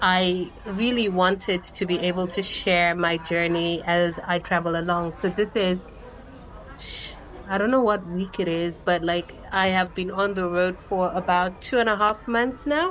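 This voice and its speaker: Through noticeable background noise, a woman of medium pitch speaks at a fairly slow pace with very even loudness and fairly even intonation. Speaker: travel vlogger. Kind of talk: casual vlog monologue. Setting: speaking to camera. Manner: many filler words.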